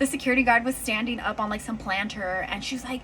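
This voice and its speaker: A high-pitched woman talks fairly quickly, her pitch varying in an ordinary way, while noticeable noise sits in the background. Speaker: storytime vlogger. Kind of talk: personal storytelling. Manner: animated.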